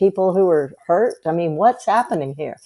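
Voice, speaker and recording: With an American accent, a woman talks at a moderate pace in a dark, mellow tone. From US South, South Carolina. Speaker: health coach. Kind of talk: casual chat.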